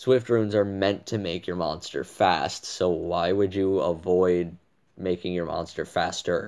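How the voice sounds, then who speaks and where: Over a quiet background, a man with a very deep, low pitch talks at a fairly slow pace with fairly even intonation. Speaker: gaming guide creator. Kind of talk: tutorial. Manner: monotone.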